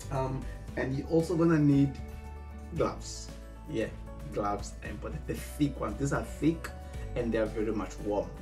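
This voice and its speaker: Clear music plays in the background as a man speaks at a moderate pace with long, frequent pauses. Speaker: student vlogger. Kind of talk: casual vlog chat. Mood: friendly, upbeat. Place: home room.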